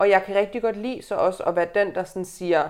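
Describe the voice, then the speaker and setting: A woman speaks at a moderate pace in a medium pitch with fairly even intonation. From Aalborg, northern Jutland, Denmark. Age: 20s. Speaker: journalist and fat activist. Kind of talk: casual interview chat. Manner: halting, many fillers.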